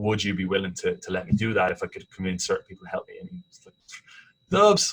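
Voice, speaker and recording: A man speaks with an Irish accent. His pace is very fast. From Ireland, Dublin. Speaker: sports commentator and TV host. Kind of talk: casual interview. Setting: podcast interview. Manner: animated storytelling with frequent repetitions.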